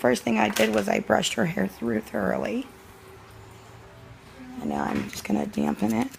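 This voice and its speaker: Speech comes at a fairly quick pace broken by long, frequent pauses, with noticeable background noise. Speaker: cosmetology student. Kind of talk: tutorial talk to camera.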